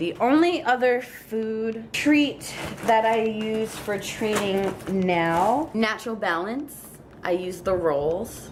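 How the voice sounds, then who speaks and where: The speaker talks in a Long Island accent. There is noticeable background noise. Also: woman. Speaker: pet vlogger. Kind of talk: casual product haul chat. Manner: chatty, talkative.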